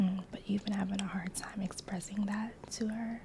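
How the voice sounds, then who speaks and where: Whispering in a soft-spoken, gentle tone at a fairly slow pace, the speaker is heard over noticeable background noise. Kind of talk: ASMR therapist role play, soft-spoken. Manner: soft-spoken, gentle, whispery.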